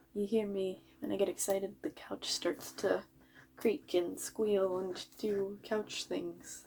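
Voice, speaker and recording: Mumbling, a woman speaks at a very slow pace. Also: medium pitch for a woman, ordinary pitch variation. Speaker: vlogger. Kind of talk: casual monologue.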